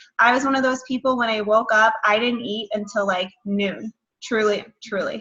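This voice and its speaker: Speaking at a moderate pace, this woman has an unremarkable speaking voice. Her pitch is fairly high and her intonation fairly even. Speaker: nutrition coach. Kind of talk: online workshop.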